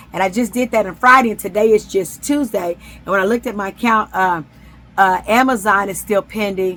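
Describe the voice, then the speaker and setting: Here is an unremarkable speaking voice, moving at a fairly quick pace with ordinary pitch variation. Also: woman. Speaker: self-published author and vlogger. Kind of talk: casual vlog talk.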